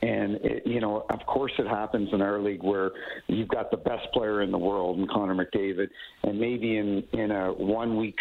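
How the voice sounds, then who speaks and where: A monotone, flat delivery in a Maritime Canadian accent. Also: man. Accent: Canadian (Maritimes). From Canada, New Brunswick. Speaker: retired hockey referee. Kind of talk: radio interview.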